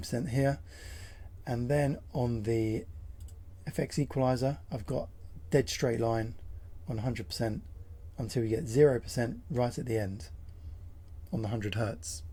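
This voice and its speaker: This voice has a dark, mellow tone with vocal fry and lively intonation. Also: man. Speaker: sim racing content creator. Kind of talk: tutorial talk to camera. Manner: casual.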